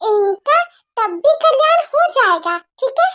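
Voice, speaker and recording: A fairly slow, put-on character voice with a squeaky sound. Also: woman. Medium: read story. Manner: fawning, deferential.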